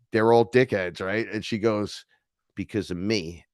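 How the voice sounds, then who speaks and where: Against a quiet background, a man with an American accent speaks in an animated tone at a fairly low pitch and moderate pace. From New York. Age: 40s. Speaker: neo-shaman and musician. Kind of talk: casual interview chat.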